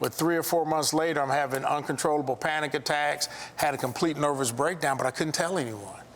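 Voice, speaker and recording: Over noticeable background noise, a man speaks with an American accent at a fairly high pitch. His pace is fairly quick and his intonation fairly even. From US Midwest, South Side Chicago. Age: 60s. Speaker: architect and contractor, abuse survivor. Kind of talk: testimony. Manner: halting.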